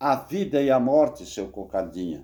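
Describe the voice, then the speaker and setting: A man's medium-pitched voice has a dark, mellow tone and moves at a fairly slow pace. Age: 70s. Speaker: bible teacher. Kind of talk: bible study lecture. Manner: halting.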